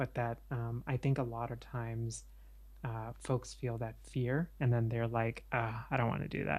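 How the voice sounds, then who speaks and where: His voice is somewhat breathy, at a medium pitch. The man keeps his intonation fairly even. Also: moderate pace. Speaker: podcaster and therapist business coach. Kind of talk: interview. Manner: hesitant, many fillers.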